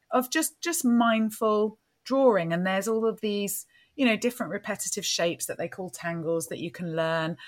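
In an English accent, a woman with a medium pitch and lively intonation speaks at a moderate pace on a very clean recording with a silent background. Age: 40s. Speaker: podcast host, business coach. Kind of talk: casual chat.

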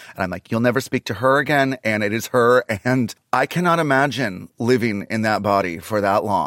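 A man talks at a moderate pace in an ordinary speaking voice with ordinary pitch variation, the sound dry and close with no echo in a very clean recording with a silent background. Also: medium pitch for a man. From Canada. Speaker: comedian. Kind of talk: casual chat. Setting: in person studio.

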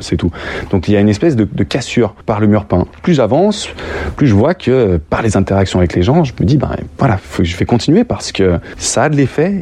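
The voice swings very widely in pitch at a fairly quick pace, somewhat breathy with a dark, mellow tone. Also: man, fairly low pitch for a man. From France, Lyon. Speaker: street artist, muralist. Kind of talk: interview. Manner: halting, many hesitations.

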